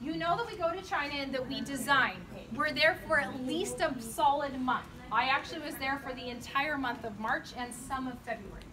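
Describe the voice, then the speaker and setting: A woman's raised, projected voice at a high pitch, moderate pace and ordinary pitch variation, with audible room echo. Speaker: company designer giving a facility tour. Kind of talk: guided tour talk to a group. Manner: loud; animated.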